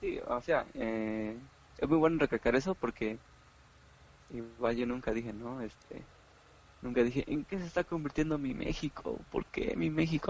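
A man's medium-pitched voice with ordinary pitch variation and long, frequent pauses. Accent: Mexican. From Mexico, Oaxaca. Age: 20s. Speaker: podcast host. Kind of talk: casual chat.

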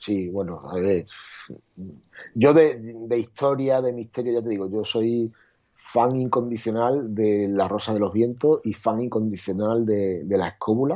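Speaking at a fairly slow pace, a man with a medium pitch has a dark, mellow tone and ordinary pitch variation. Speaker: photographer. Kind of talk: casual interview. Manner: hesitant, repeats words.

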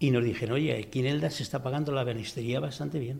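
The voice carries vocal fry and ordinary pitch variation at a fairly quick pace. Audible room echo surrounds it. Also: man. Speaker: cabinetmaker. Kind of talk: press conference.

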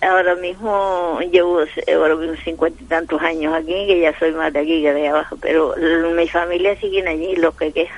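Fairly quick and low-pitched, a woman speaks with monotone, flat intonation. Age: 80s+. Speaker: radio caller. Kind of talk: phone-in reminiscence. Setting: phone call.

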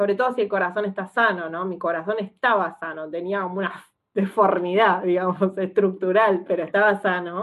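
Using an ordinary speaking voice, a woman talks at medium pitch and a fairly quick pace with fairly even intonation. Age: 30s. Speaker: psychologist and stroke patient. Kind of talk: interview testimony.

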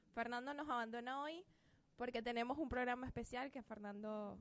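A woman speaks with a Venezuelan accent. Her pitch is fairly high and her pace moderate. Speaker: internet radio co-host. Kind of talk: casual chat.

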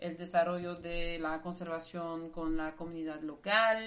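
A woman's fairly low voice with a non-native accent, ordinary pitch variation and a fairly slow pace, with audible room echo. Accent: foreign accent in Spanish. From Belgium, Brussels. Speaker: marine biologist. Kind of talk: interview.

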